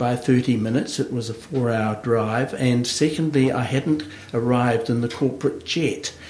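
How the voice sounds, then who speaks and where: Noticeable background noise sits behind this voice. A man with a New Zealand accent speaks at a medium pitch. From New Zealand, Hawke's Bay. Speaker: agribusiness consultant. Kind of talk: interview. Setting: studio. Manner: halting, many fillers.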